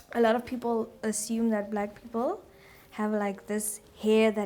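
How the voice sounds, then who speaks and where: Flat and monotone, a woman talks at a moderate pace. Her pitch is fairly high. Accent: South African. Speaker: nursing student. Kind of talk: casual chat.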